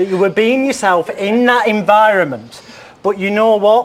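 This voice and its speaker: At a moderate pace, a man with a northern English accent speaks in a high pitch with ordinary pitch variation. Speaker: psychic. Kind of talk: TV chat show segment.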